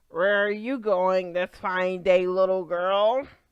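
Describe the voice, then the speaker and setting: A woman puts on a character voice at a medium pitch. She delivers it at a fairly slow pace. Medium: read story. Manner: sly.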